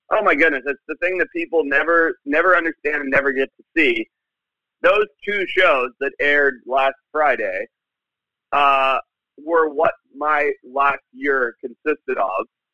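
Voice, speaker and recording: A man with a normal speaking voice and fairly high pitch talks at a fairly slow pace, with ordinary pitch variation and big swings in loudness. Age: 30s. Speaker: wildlife biologist. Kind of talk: interview. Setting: phone call.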